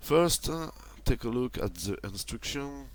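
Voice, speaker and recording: This man talks at a very slow pace. He has a French accent. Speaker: toy reviewer. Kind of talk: product review. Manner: halting, many fillers.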